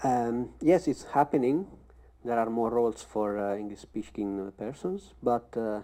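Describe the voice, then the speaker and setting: A man with a strong Italian accent, medium pitch, a dark, mellow tone, ordinary pitch variation and a fairly slow pace, against a quiet background. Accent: thick Italian. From Italy. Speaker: actor. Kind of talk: panel discussion.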